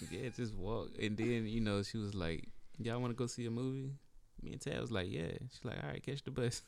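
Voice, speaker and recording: Speaking at a fairly quick pace, a man with an American accent has a normal speaking voice. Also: medium pitch for a man, ordinary pitch variation. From rural northeastern North Carolina, near Lake Gaston. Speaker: podcast co-host, real estate agent. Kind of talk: casual chat.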